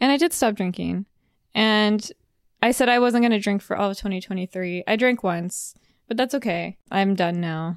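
A woman with a plain, everyday voice speaks at medium pitch and a moderate pace, with ordinary pitch variation, in a dry, close sound with no echo. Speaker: podcast co-host. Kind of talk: casual chat. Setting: home studio with podcast mics. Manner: chatty, rambling.

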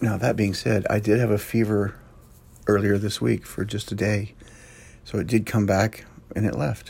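A man speaks with a fairly low pitch and a somewhat breathy quality, his intonation fairly even. He goes at a moderate pace, leaving long, frequent pauses. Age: 50s. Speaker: first aid instructor and podcast host. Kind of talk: casual solo podcast talk. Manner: halting, many fillers.

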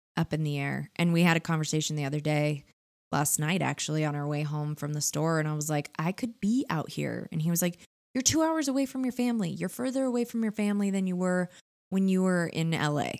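A woman with a Californian accent and a fairly low pitch speaks at a fairly quick pace with lively intonation in a very clean recording with a silent background. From Southern California (Orange County). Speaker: podcast co-host. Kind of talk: casual chat.

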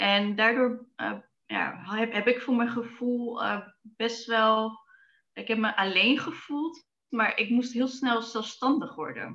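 A bright, sharp tone with ordinary pitch variation at a very slow pace. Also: woman, fairly high pitch for a woman. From Netherlands, Zwolle. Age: 30s. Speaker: lifestyle coach and dietitian. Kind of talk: interview. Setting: video call. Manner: hesitant, many fillers.

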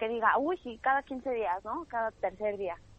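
A woman with a Mexican accent speaks at a moderate pace. Her pitch is fairly high, with ordinary variation. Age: 20s. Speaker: stand-up comedian. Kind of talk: casual chat. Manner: animated.

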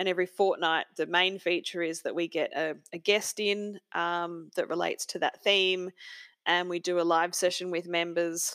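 In an Australian accent, a woman with a fairly low pitch speaks in a flat monotone, the sound dry and close with no echo. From rural Australia. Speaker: architect and author. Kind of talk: casual interview.

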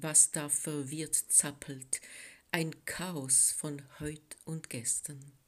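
Speaking at a very slow pace, the woman has a very deep, low pitch. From French-speaking Switzerland. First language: French (speaking German). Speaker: poet. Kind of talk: poetry reading.

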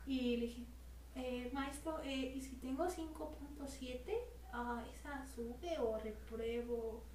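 With audible room echo and noticeable background noise, a woman speaks at a very slow pace. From Mexico, Morelia. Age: 20s. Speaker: church youth group leader and photographer. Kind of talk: casual interview.

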